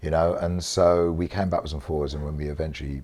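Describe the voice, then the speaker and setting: In a South London accent, a man speaks at a very deep, low pitch. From South East London. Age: 60s. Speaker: interviewee. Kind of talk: casual interview.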